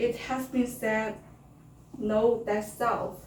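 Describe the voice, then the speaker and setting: A woman speaks at a very slow pace with a fairly high pitch. Her intonation stays fairly even over noticeable background noise. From China (born to North Korean parents). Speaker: North Korean refugee speaker. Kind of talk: prepared speech in English.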